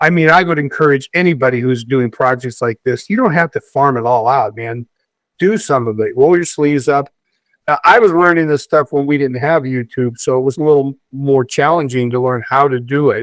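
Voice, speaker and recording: The sound is dry and close with no echo as a man speaks at a fairly high pitch and a fairly quick pace with ordinary pitch variation. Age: 60s. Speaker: community leader and DIY home renovator. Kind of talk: casual chat. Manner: halting, many repeated words.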